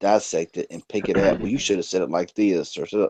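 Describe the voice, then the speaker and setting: With a Southern US accent, a man speaks at a fairly quick pace and a fairly low pitch, his dark, mellow tone captured in a dry, close sound with no echo. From North Carolina. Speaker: tech youtuber. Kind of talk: casual chat.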